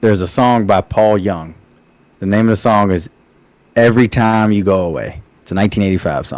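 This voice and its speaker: Man with a fairly low pitch and fairly even intonation at a fairly quick pace, broken by long, frequent pauses. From Virginia, Richmond area. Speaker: podcast co-host. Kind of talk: casual chat.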